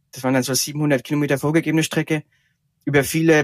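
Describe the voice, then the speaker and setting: Recorded very cleanly with a silent background and a dry, close sound with no echo, a man talks at a fairly quick pace in a monotone, flat intonation. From Franconia, Germany. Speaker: ultracycling racer. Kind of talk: interview.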